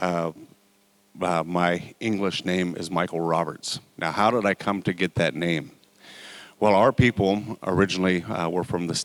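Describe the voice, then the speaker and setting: In a very clean recording with a silent background and a dry, close sound with no echo, a man with an American accent and a very deep, low pitch speaks at a moderate pace with fairly even intonation. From Oklahoma, Choctaw and Chickasaw. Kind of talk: public talk to an audience. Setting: college event with live audience.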